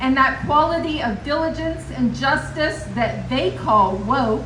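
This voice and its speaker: A woman speaks loudly at a high pitch and a very slow pace, with audible room echo and noticeable background noise. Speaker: professor at political rally. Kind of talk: rally speech.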